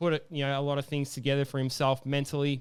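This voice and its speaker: An Australian-accented man at a very fast pace, in a monotone, flat delivery. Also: very clean recording, silent background. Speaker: MMA podcast host. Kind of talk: casual chat. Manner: hesitant, many fillers.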